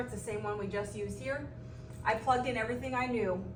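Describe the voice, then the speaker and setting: A woman's fairly quick speech comes through with audible room echo and noticeable noise in the background. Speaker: math teacher. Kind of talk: recorded lesson. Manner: fast.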